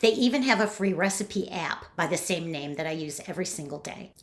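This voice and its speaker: A woman speaks at a moderate pace with very wide pitch swings. Noticeable background noise runs under her voice. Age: 60s. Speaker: romance and thriller novelist. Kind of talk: reading aloud.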